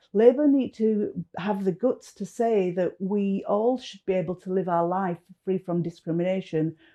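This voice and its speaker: A woman speaks at a moderate pace and medium pitch with a northern English accent, her dark, mellow tone carrying ordinary pitch variation, big swings in loudness and hardly any pauses. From northern England. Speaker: political activist. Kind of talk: political commentary.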